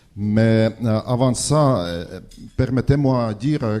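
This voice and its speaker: At a very slow pace, the speaker has a dark, mellow tone with ordinary pitch variation. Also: man. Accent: non-native. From Estonia. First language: Estonian (speaking French). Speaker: ambassador. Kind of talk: speech at debate. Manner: halting, many hesitations.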